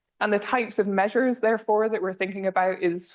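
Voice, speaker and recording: Very fast, a woman speaks with fairly even intonation. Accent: Scottish. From northern Scotland. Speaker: energy policy researcher. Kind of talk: lecture.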